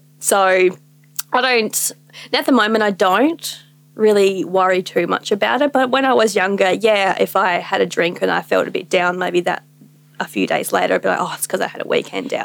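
A woman talks in an Australian accent with medium pitch and vocal fry. Her intonation is lively and her pace moderate. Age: 20s. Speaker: small business owner. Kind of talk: casual chat.

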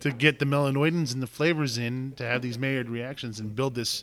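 This man has a normal speaking voice at medium pitch with ordinary pitch variation, captured in a very clean recording with a silent background. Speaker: podcast host and homebrew shop owner. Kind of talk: casual chat.

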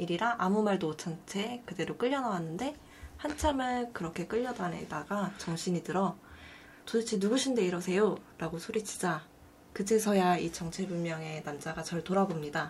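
Here a woman speaks with a normal speaking voice at a medium pitch. Her intonation is lively and her pace moderate. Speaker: video artist. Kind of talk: casual chat.

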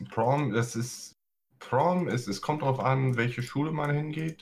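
At a very slow pace, a man talks in a medium pitch with a somewhat breathy voice. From US, San Francisco Bay Area. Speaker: guest. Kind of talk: casual chat.

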